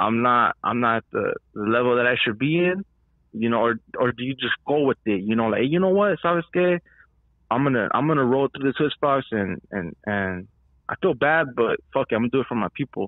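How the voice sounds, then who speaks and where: A plain, everyday voice from a man, medium in pitch, with lively intonation. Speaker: caller. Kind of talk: casual chat. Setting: phone call.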